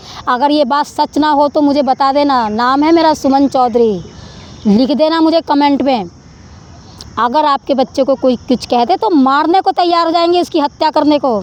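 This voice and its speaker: A woman speaks with an animated tone at a high pitch with ordinary pitch variation and very even loudness, the sound dry and close with no echo, though noticeable background noise is present. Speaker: spiritual vlogger. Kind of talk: preachy monologue to camera.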